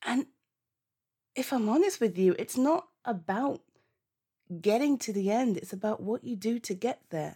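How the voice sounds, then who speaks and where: A woman's dark, mellow, somewhat breathy voice with lively intonation and long, frequent pauses. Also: moderate pace. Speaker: comfort-roleplay audio performer. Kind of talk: one-sided roleplay pep talk to an upset friend on the phone. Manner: soothing yet urgent, repeating calm down and listen; warm, laughing reassurance, gushing encouragement.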